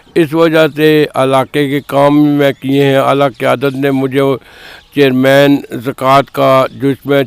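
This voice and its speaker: A man speaks in a fairly high voice. The sound is dry and close, with no echo. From Pakistan, Islamabad area. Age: 60s. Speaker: local election candidate. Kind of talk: interview.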